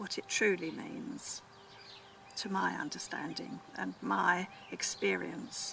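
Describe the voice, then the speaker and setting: Very slowly, a woman whispers. Noticeable background noise can be heard as well. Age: 70s. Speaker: psychic vlogger. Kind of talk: explanatory vlog monologue. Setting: outdoors in chicken patch. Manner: halting, with frequent fillers.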